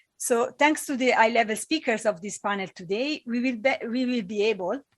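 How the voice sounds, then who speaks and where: A woman with an Italian accent, fairly high pitch and fairly quick pace, in a very clean recording with a silent background. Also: ordinary pitch variation. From Italy. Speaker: panel chair, climate advocacy director. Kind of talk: moderating a conference panel. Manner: halting, with restarts and fillers.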